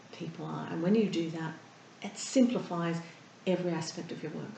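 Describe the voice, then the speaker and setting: Noticeable background noise accompanies a woman with an Australian accent who speaks very fast with ordinary pitch variation. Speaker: therapist and breathing coach. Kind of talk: interview answer.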